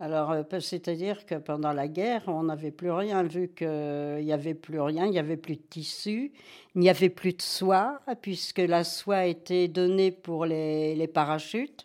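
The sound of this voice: Speaking at a fairly slow pace, a woman with a low pitch and slightly mellow tone keeps her intonation fairly even.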